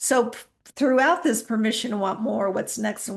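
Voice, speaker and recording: Fairly high-pitched woman's voice with vocal fry and fairly even intonation. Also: quiet background. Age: 60s. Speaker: podcast host. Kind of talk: reflective podcast monologue. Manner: casual, conversational.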